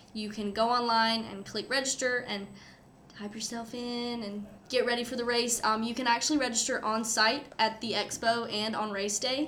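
In a North Carolina accent, a woman with a fairly high pitch speaks at a moderate pace with fairly even intonation, over noticeable background noise and audible room echo. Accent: US Southern (North Carolina). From eastern North Carolina (Goldsboro). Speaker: student race director. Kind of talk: casual interview.

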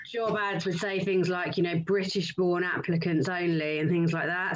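Noticeable background noise sits behind a woman who talks at a fairly slow pace with a fairly low pitch and fairly even intonation. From Lowestoft, Suffolk, East Anglia (England). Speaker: sales director and business co-founder. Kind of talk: interview.

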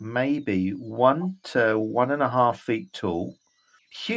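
Someone is reading aloud in a natural voice with lively intonation over a quiet background.

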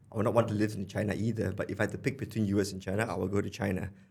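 Talking at a very fast pace, a man uses a fairly low, somewhat breathy voice with fairly even intonation. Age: 30s. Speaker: investor and former venture builder. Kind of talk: casual chat. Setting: studio. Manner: halting, many repeated words.

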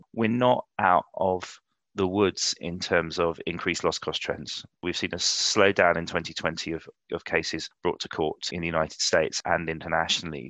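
A man with a London accent speaks at a moderate pace. The sound is dry and close with no echo, over a quiet background. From London, England. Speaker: insurance executive. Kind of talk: interview conversation.

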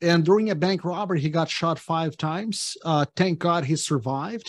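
With an unremarkable speaking voice, a man talks at a fairly high pitch and fairly even intonation over a quiet background. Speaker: real estate investor and developer. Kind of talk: casual interview chat. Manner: positive, friendly.

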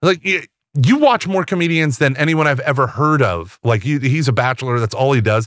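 With lively intonation and a fairly quick pace, a man in an unremarkable speaking voice is heard on a very clean recording against a silent background. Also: fairly high pitch for a man. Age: 40s. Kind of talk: casual interview chat.

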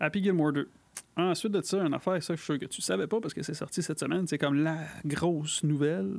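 Someone with a Quebec accent speaks at a fairly quick pace. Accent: Québécois French. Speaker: podcast co-host. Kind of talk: casual chat.

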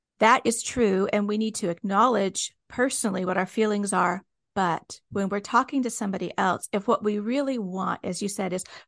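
A woman's plain, everyday voice at medium pitch, with an American accent, fairly even intonation, a moderate pace and a quiet background. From US. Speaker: podcast host. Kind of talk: interview. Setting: video call.

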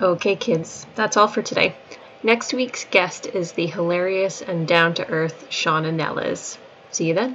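Against noticeable background noise, a woman talks at a fairly slow pace and a medium pitch with ordinary pitch variation. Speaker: podcast host. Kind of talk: casual interview.

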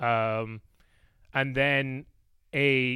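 Recorded very cleanly against a silent background, the speaker has an Irish accent, a bright, sharp tone and fairly even intonation. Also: man. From Ireland. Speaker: political podcaster, guest. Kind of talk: casual chat.

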